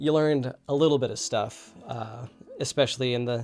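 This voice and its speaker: Background music beneath fairly even intonation. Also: man. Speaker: web developer YouTuber live coding. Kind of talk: live stream tutorial. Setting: live stream. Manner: rambling with many fillers.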